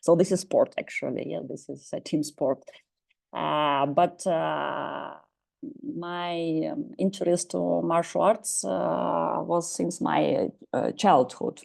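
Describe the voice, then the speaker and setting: In a Russian accent, a woman speaks at a very slow pace. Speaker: professor. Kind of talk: lecture. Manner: halting.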